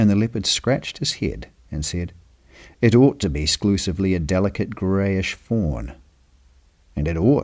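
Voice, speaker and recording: Very deep, low-pitched male voice in a calm tone with lively intonation at a moderate pace, on a very clean recording with a silent background. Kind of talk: read story; sleep story.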